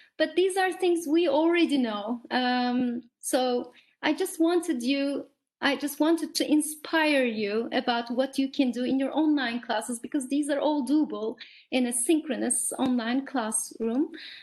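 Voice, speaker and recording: Fairly slow and high-pitched, a woman speaks with a Turkish accent. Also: ordinary pitch variation. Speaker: teacher trainer. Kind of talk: online workshop. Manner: hesitant fillers.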